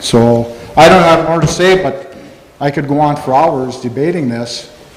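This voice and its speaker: A man with an American accent, fairly high in pitch, with ordinary pitch variation, audible room echo and noticeable background noise. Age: 60s. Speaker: farmer. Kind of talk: public comment at county board meeting. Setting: town hall meeting room. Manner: halting, with false starts.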